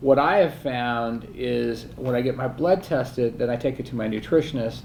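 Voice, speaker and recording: With an ordinary speaking voice, a man talks at a medium pitch and moderate pace, his pitch varying in an ordinary way. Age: 60s. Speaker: interview host. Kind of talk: casual interview.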